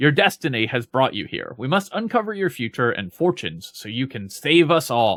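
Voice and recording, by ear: A put-on character voice, raspy, with very wide pitch swings and hardly any pauses at a moderate pace. The recording is very clean with a silent background. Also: man, medium pitch for a man.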